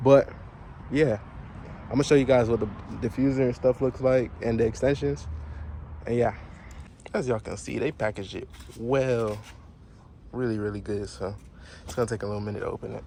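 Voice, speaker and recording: A man with a medium pitch and ordinary pitch variation speaks at a fairly quick pace, broken by long, frequent pauses. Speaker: car enthusiast vlogger. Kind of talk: casual DIY vlog. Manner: fast; animated.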